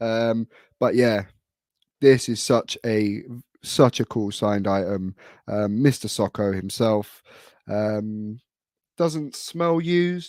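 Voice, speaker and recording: In a British accent, a man with a medium pitch speaks at a very slow pace with lively intonation and long, frequent pauses, the sound dry and close with no echo on a very clean recording with a silent background. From UK. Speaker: wrestling collector, YouTuber. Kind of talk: casual show-and-tell vlog. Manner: hesitant, many fillers.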